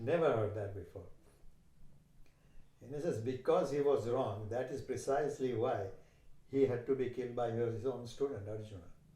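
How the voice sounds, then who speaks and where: Speaking in a Gujarati accent, a man with medium pitch, a dark, mellow tone and ordinary pitch variation sounds somewhat breathy, leaving long, frequent pauses amid audible room echo. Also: moderate pace. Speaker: yoga teacher. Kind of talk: interview conversation.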